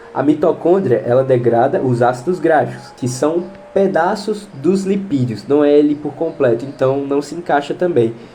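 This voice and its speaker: Moderate pace with hardly any pauses, ordinary pitch variation, and music in the background. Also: man, fairly high pitch for a man. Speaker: biology tutor for exam prep. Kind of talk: online lesson, exam question walkthrough. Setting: home recording. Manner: casual, conversational.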